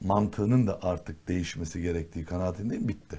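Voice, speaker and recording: A slightly breathy male voice, moderately paced, with ordinary pitch variation. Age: 60s. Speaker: politician. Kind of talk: talk show interview. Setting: TV studio.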